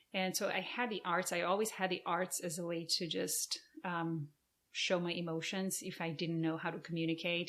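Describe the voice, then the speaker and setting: Speaking at a moderate pace, a woman with a Portuguese accent has a fairly low-pitched voice. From Brazil. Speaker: arts organization founder, former professional performer. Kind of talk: podcast interview.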